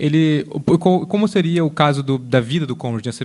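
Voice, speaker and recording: Here a man speaks at a fairly high pitch and a moderate pace. His intonation is lively. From Brazil. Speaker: literature lecturer. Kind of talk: lecture. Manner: halting.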